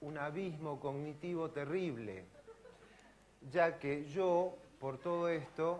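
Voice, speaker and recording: In a room with audible echo, a man with an Argentine accent speaks very slowly in a high pitch with fairly even intonation. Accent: Argentine Spanish (Rioplatense). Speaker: neurosurgeon and physiology professor. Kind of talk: lecture.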